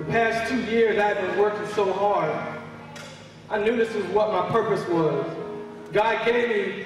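A man talks in a high pitch with fairly even intonation. Clear music plays in the background, and there is strong room echo. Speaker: church speaker giving a testimony. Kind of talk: religious testimony, spoken in church. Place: church.

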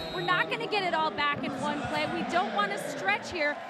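The voice is raised and projected, moving at a fairly quick pace. The sound is dry with no echo, with clear music in the background. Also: woman. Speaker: sideline reporter. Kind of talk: sideline interview and report. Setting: stadium sideline. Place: stadium. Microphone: handheld.

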